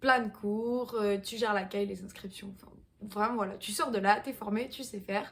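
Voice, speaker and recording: A woman with a somewhat breathy, medium-pitched voice talks at a moderate pace with fairly even intonation and big swings in loudness. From southwestern France, Pau. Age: 20s. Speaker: fitness coach. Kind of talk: casual vlog talk. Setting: at home in apartment.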